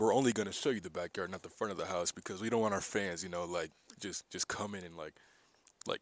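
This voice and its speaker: Talking at a very fast pace, a man uses ordinary pitch variation in a dry sound with no echo. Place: street. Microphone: phone near.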